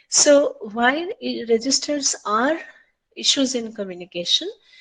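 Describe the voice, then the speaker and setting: The voice belongs to a woman. She speaks with an Odia accent. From India, Odisha. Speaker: lecturer. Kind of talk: lecture.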